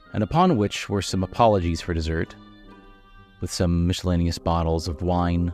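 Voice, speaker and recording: A man talks at a moderate pace in a very deep, low voice with monotone, flat intonation while music plays in the background. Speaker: voice actor. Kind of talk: audiobook narration.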